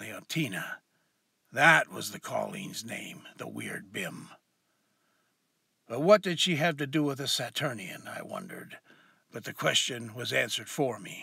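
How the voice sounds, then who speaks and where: Putting on a raspy character voice at a fairly high pitch, a man speaks at a moderate pace, with long, frequent pauses. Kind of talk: hard-boiled noir first-person narration.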